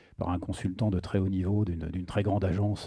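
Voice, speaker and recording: A man with a dark, mellow, somewhat breathy tone talks at a fairly quick pace. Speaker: conference speaker, veterinarian and sales director. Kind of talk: conference talk. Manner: hesitant, many fillers.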